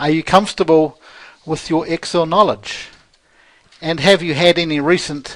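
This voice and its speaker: This man talks with a New Zealand accent and a high pitch. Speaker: Excel trainer and financial controller. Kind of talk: sales pitch.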